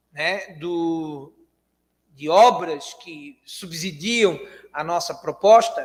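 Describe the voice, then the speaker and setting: This man has a high pitch and ordinary pitch variation, speaking at a very slow pace with long, frequent pauses. Room echo is audible. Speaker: spiritist lecturer. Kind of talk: lecture. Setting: spiritist centre hall with audience, livestreamed. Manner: soft-spoken.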